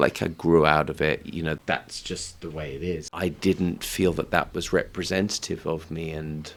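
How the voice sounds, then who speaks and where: In an English accent, a man speaks with a very deep, low pitch. His intonation is fairly even. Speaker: singer-songwriter. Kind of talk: casual chat. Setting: studio.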